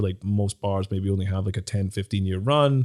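This man has a dark, mellow tone and a fairly low pitch, speaking at a fairly quick pace. The recording is very clean, with a silent background. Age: 30s. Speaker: entrepreneur and artist. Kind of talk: casual interview. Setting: studio. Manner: halting, many repeated words and fillers.

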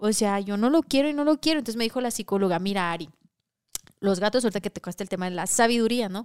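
A woman talks at a very fast pace and fairly high pitch. The recording is very clean, with a silent background. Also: dry, close sound with no echo. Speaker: podcast host. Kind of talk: casual chat podcast, live stream.

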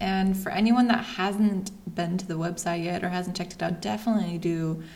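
Somewhat breathy, a woman speaks at a moderate pace and medium pitch. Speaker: podcast host. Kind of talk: casual interview chat.

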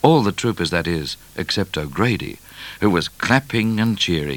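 The recording features an unforced reading voice.

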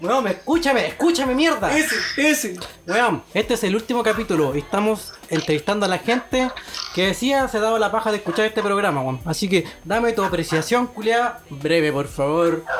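Someone speaks at a moderate pace with a Chilean accent. Noticeable background noise runs underneath. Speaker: podcast co-host. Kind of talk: casual chat.

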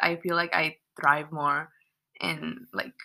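A woman with a Californian accent speaks in a bright, sharp tone. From San Fernando Valley, California. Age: 20s. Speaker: engineering student. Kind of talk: casual chat. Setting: at home with housemates.

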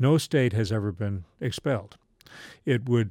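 A man with an American accent and a dark, mellow tone at a medium pitch, ordinary pitch variation and moderate pace, on a very clean recording with a silent background. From US South, Charleston, West Virginia. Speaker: law professor. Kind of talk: interview.

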